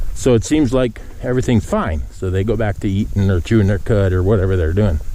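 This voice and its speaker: A man at a moderate pace, with very wide pitch swings and noticeable background noise. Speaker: cattle farmer. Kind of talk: casual walking vlog. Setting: outdoors walking in pasture. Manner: calm.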